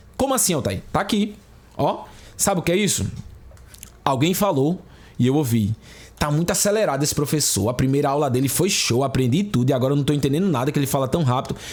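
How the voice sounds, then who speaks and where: A man's fairly high, somewhat breathy voice, very fast and animated, with lively intonation, very even loudness, long frequent pauses and audible room echo. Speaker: exam prep teacher. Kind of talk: online lecture.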